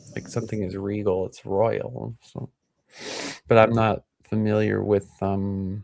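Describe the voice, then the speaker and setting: In a plain, everyday voice with an American accent, a man speaks at a fairly slow pace and fairly low pitch, his intonation fairly even and his loudness swinging widely, the sound dry and close with no echo. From US Midwest. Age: 40s. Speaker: YouTube commentator. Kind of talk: casual chat.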